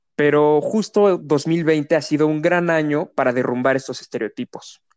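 In a plain, everyday voice, a man talks at a moderate pace with a fairly high pitch and ordinary pitch variation, the sound dry and close with no echo. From Querétaro, Mexico. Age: 20s. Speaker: sustainability student and mobility activist. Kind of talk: interview.

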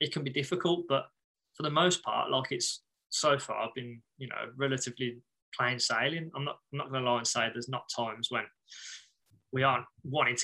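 Very fast and bright, sharp in tone, a man speaks at a medium pitch with fairly even intonation. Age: 30s. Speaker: band bassist. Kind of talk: casual interview chat.

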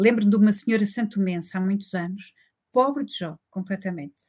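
A woman's dark, mellow, somewhat breathy voice with ordinary pitch variation, on a very clean recording with a silent background. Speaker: forensic doctor. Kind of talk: interview.

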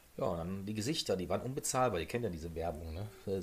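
Somewhat breathy, the voice races at a very fast pace with lively intonation. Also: man. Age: 50s. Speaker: podcast co-host, former stream moderator. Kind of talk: casual chat.

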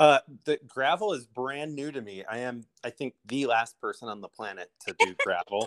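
Someone with an American accent and a normal speaking voice talks at a moderate pace with lively intonation and big swings in loudness. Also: man, medium pitch for a man. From US Midwest, Illinois. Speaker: bike shop owner and race organizer. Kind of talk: casual interview.

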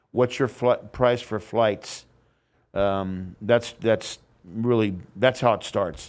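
Over a silent background in a very clean recording, a man speaks very slowly at a medium pitch with ordinary pitch variation. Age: 60s. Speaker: former drummer. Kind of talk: casual interview. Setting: studio.

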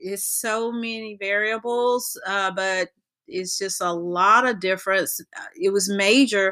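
With an American accent, a woman uses an ordinary speaking voice, pitched at medium and spoken at a fairly slow pace with fairly even intonation. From North Carolina. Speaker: pastor's wife, ministry co-founder. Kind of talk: casual chat.

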